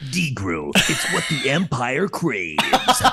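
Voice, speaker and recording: A man puts on a character voice pitched fairly high. He speaks at a fairly slow pace. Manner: dramatic, promotional.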